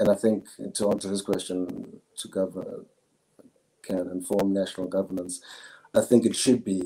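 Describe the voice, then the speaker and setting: A man's dark, mellow voice at a moderate pace, monotone and flat, with long, frequent pauses. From South Africa, KwaZulu-Natal, Zulu. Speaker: philosophy student. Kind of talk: interview answer. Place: home room.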